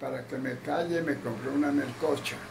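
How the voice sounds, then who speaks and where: Noticeable background noise runs under this clip. A man talks at a fairly slow pace. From Túquerres, Nariño, Colombia. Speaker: elderly storyteller. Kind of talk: interview answer, personal anecdote. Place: home room. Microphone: phone near.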